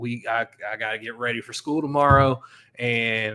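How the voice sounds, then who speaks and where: A man's bright, sharp tone at a moderate pace, with an American accent. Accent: sounds like a redneck (rural American). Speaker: sports podcast host. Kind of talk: casual solo podcast commentary. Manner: animated.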